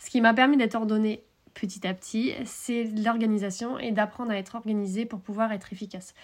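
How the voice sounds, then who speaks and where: A woman speaks in an ordinary speaking voice, fairly high-pitched and at a fairly quick pace. The recording is very clean, with a silent background. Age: 30s. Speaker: horse coach podcaster. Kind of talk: solo podcast monologue. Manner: casual, filler-heavy.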